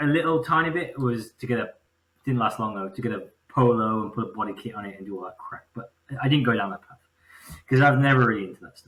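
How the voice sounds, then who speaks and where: A man with a mid-range pitch talks very rapidly, his pitch varying in a normal way. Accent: English. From England, Birmingham area. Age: 30s. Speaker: engine builder. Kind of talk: casual chat.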